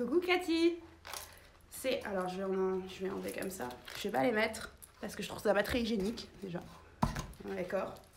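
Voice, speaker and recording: A woman's voice with very wide pitch swings and long, frequent pauses, amid noticeable background noise and audible room echo. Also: medium pitch for a woman, moderate pace. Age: 30s. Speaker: boutique owner and online fashion seller. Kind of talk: live shopping stream. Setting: in her shop, filming herself. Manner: casual, chatty.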